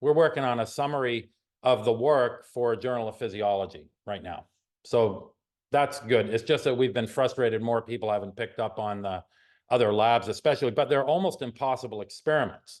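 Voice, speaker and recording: A man's fairly quick speech at a medium pitch, with ordinary pitch variation and a quiet background. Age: 60s. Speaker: chiropractor and nerve researcher. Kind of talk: professional webinar discussion. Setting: video call. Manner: halting.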